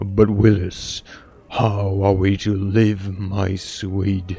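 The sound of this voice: A man's put-on character voice, fairly low and monotone, flat in intonation, at a very slow pace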